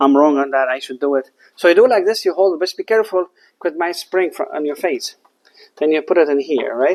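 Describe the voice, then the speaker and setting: The speaker talks at a very fast pace with a non-native accent. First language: not English. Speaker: HVAC technician. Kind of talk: tutorial. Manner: halting; casual.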